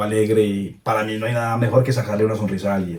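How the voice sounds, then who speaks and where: A fairly low-pitched man with a dark, mellow tone, fairly quick pace, and fairly even intonation. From Colombia, coffee region (Cartago). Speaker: content creator. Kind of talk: interview.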